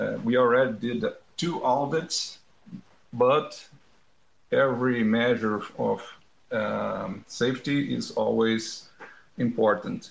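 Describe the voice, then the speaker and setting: A man speaks very slowly with a non-native accent. He leaves long, frequent pauses. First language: not English. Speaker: guest.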